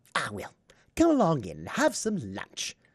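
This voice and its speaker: A man talks in a put-on character voice at a moderate pace. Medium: read story. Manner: gushing, eager, persuasive.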